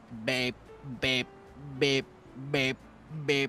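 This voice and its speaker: Over clear music in the background, a man uses a robotic, put-on character voice with monotone, flat intonation. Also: medium pitch for a man. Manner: repetitive beeping.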